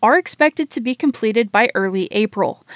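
Fairly quick speech from a woman with a high pitch. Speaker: radio reporter. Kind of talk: scripted radio news report, read aloud. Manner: formal, even and informative, steady newsreading pace.

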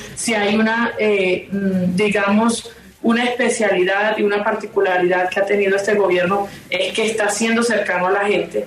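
Over noticeable background noise and audible room echo, the voice moves at a moderate pace with monotone, flat intonation and very even loudness. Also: woman, medium pitch for a woman. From La Guajira, Colombia (Riohacha). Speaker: senator. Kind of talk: radio interview. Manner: halting.

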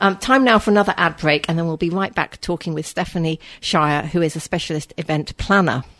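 Fairly quick and with hardly any pauses, a woman talks in a normal speaking voice, fairly low-pitched with ordinary pitch variation, in a very clean recording with a silent background. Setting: studio.

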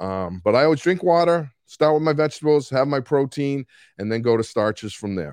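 Against a quiet background, a man with a Boston accent speaks in a fairly high voice with lively intonation. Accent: Boston accent, fairly strong. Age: 60s. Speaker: coach. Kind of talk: casual solo talk about coaching. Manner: can get loud and animated.

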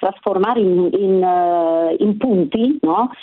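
A woman's lively intonation against noticeable background noise. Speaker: retired teacher. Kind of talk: radio call-in. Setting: phone call.

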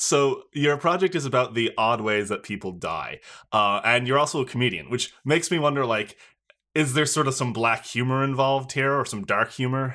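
In a very clean recording with a silent background, a man speaks at a moderate pace and medium pitch, his tone bright and sharp, with ordinary pitch variation. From Newfoundland, Canada. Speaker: podcast host. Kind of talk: casual interview chat.

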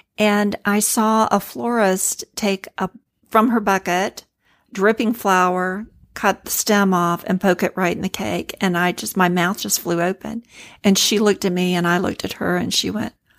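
On a very clean recording with a silent background and a dry, close sound with no echo, a woman talks at a moderate pace in an unremarkable speaking voice, with medium pitch and fairly even intonation. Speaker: cake designer. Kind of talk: interview chat.

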